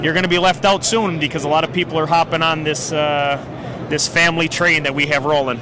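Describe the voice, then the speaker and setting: Someone with a northeastern Pennsylvania accent talks at a very fast pace, with fairly even intonation and very even loudness. Noticeable background noise runs underneath. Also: man, fairly high pitch for a man. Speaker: cigar company representative. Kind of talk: trade show interview. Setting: trade show floor.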